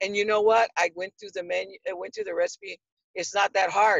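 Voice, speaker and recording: A woman speaks in an unremarkable speaking voice at medium pitch with fairly even intonation. The sound is dry and close, with no echo. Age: 60s. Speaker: cooking course student. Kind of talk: testimonial interview.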